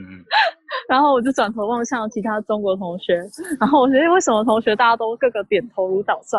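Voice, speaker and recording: A woman talks at a fairly quick pace with ordinary pitch variation. Her loudness swings widely. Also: fairly high pitch for a woman. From Taiwan. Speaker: graduate student. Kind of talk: casual chat.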